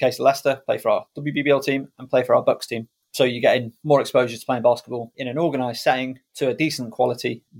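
A man with a North Welsh accent talks at a very fast pace with hardly any pauses, his medium-pitched voice monotone and flat in intonation yet swinging widely in loudness. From Wales. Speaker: basketball commentator and podcaster. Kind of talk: casual interview chat.

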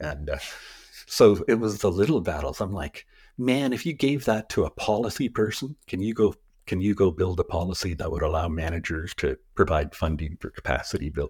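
Somewhat breathy speech in a Western Canadian accent comes at a fairly quick pace, on a very clean recording with a silent background and a dry, close sound with no echo. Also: man, fairly low pitch for a man, lively intonation. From Canada, British Columbia West Coast. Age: 60s. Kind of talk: interview conversation. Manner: halting.

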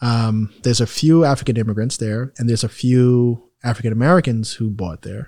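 Here a man speaks at a medium pitch and moderate pace. He has a New York accent. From New York, Queens. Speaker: real estate investor and healthcare business owner. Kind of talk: casual interview.

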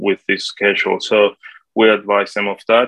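In a Spanish accent, a man with a fairly low pitch speaks at a fairly slow pace, the sound dry and close with no echo. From Colombia. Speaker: property manager. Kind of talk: interview.

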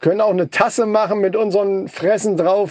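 The voice has a dark, mellow tone. The pace is fairly quick. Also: man. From northern German coast. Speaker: podcast co-host. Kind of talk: casual chat.

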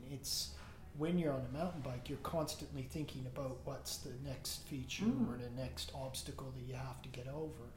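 With a Canadian accent, a man speaks at a moderate pace over noticeable background noise. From Nova Scotia, Canada. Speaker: runner. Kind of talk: casual interview. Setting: home.

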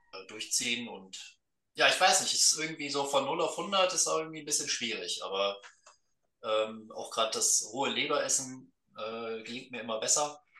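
The man talks at a moderate pace. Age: 20s. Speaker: guest. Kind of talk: casual chat.

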